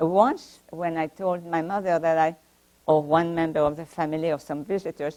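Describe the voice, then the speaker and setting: Speaking with a strong French accent, a woman keeps a fairly low pitch, a moderate pace, and monotone, flat intonation. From France (Paris). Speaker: Holocaust survivor and author. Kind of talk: talk to library audience. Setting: library talk with audience. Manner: halting.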